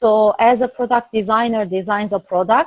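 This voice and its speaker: A woman speaks fairly slowly with a Turkish accent at a medium pitch. Her intonation is fairly even, and the sound is dry and close with no echo. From Turkey. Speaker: product service system designer. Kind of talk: interview.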